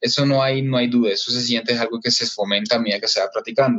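With fairly even intonation and medium pitch, a man talks in a normal speaking voice. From Colombia, Caribbean coast (Barranquilla). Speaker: entrepreneur, systems engineer. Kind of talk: interview.

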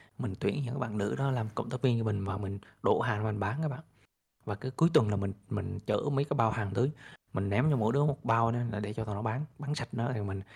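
A somewhat breathy man at a very fast pace, in a very clean recording with a silent background. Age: 30s. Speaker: crypto investor and entrepreneur. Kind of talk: interview storytelling.

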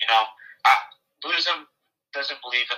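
A man speaks in a bright, sharp tone. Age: young. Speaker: college student. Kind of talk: interview.

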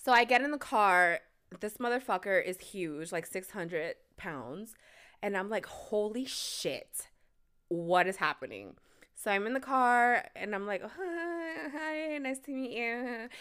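In a very clean recording with a silent background, a woman speaks very slowly at a fairly high pitch, her voice making very wide pitch swings. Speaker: podcast host. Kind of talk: angry rant, furious profanity-laden storytelling about the catfish date. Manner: animated, loud, indignant, punchy and sarcastic with heavy swearing.

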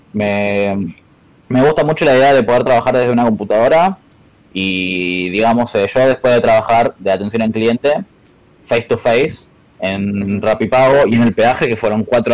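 A man with a medium pitch, ordinary pitch variation and a moderate pace in an unremarkable speaking voice. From Argentina, Buenos Aires western suburbs. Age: 20s. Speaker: competitive gamer. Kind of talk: casual interview chat.

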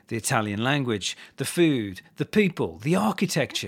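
A man speaks at a medium pitch with very wide swings in pitch, on a very clean recording with a silent background. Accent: British. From England. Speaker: English language coach. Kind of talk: scripted narration. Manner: clear and measured.

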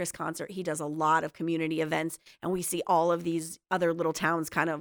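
A woman with an American accent speaks at a fairly quick pace in a fairly low, monotone, flat voice. The recording is very clean, with a silent background. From northeastern Pennsylvania, Luzerne County. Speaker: insurance agent. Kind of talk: casual interview. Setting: studio.

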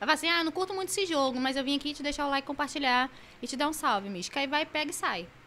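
Speaking at a very fast pace, a woman uses a raised, projected voice with a high pitch and lively intonation. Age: 20s. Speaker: gaming streamer. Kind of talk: casual chat.

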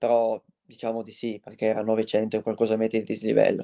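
Medium-pitched man's voice with a dark, mellow tone at a moderate pace, dry and close with no echo. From Aosta Valley, Italy. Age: 20s. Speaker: mountain runner. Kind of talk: interview. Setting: live stream.

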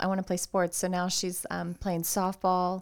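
Speaking in an American accent, a woman keeps a moderate pace. Her pitch is medium. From Cincinnati, Ohio (west side). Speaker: nonprofit parks foundation director. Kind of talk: podcast interview. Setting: studio. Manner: animated.

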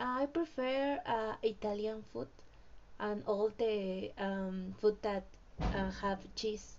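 The speaker talks at a very slow pace in a Mexican accent. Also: woman, fairly high pitch for a woman, ordinary pitch variation. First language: Spanish. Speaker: English language student. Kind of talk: language class conversation practice. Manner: halting.

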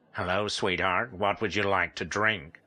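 Putting on a husky character voice, a man speaks at a moderate pace with a fairly low pitch. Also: fairly even intonation. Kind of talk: friendly, familiar.

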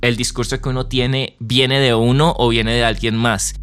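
A man speaking with music in the background. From Colombia. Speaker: podcast host and musician. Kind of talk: casual conversation.

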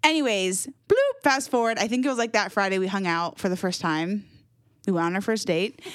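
Speaking at a fairly quick pace with lively intonation, the woman has an unremarkable speaking voice. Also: medium pitch for a woman. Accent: American. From Jacksonville, Florida. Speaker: church communications director. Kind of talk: casual chat.

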